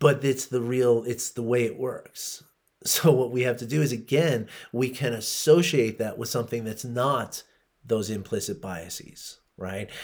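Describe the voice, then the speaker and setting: A man talks at a fairly slow pace. His medium pitch shows ordinary variation. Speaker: podcaster. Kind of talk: solo podcast talk on Buddhism.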